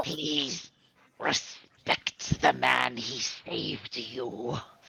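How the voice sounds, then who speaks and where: A put-on, growling character voice at a low-to-middle pitch, delivered at a very slow pace. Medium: actual play. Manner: formal, no contractions.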